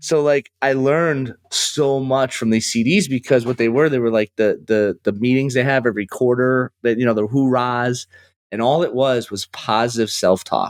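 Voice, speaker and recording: In an American accent, a man with a medium-pitched voice speaks at a moderate pace with hardly any pauses and ordinary pitch variation, in a dry, close sound with no echo and a quiet background. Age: 40s. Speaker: financial services CEO. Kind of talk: podcast interview. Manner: animated.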